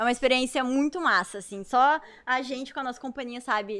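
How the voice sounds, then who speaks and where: A woman is talking, her pitch high. The variation in her pitch is ordinary. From Santa Rosa, Rio Grande do Sul, Brazil. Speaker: professional dancer. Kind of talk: casual chat.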